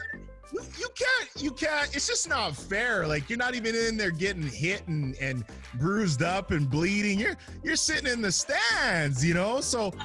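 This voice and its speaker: Music plays behind a man whose raised, projected voice sits high in pitch, with very wide pitch swings. He moves at a moderate pace. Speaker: podcast host. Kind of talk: casual interview talk.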